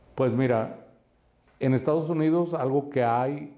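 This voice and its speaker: A man's fairly high voice, dark and mellow in tone, with ordinary pitch variation and audible room echo. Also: very even loudness. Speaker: real estate coach and investment adviser. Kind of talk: podcast interview. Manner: animated.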